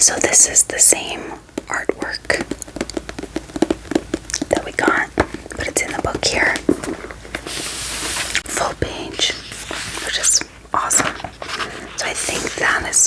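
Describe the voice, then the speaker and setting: Whispering in a relaxed tone, a woman speaks at a very slow pace with long, frequent pauses over noticeable background noise. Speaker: ASMR creator and book reviewer. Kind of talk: bookish ASMR, casual talk to camera. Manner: soft, whispery, relaxed.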